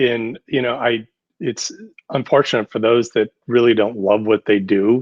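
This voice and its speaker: An ordinary speaking voice with an American accent moves at a moderate pace in a dry, close sound with no echo. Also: man. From US Upper Midwest (North Dakota/Minnesota). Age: 60s. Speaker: architect, design firm president. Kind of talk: podcast interview. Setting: podcast studio.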